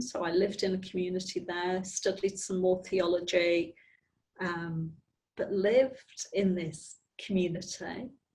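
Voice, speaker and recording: A woman speaks with a Northern Irish accent. Her voice is somewhat breathy. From Belfast, Northern Ireland. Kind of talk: interview answer.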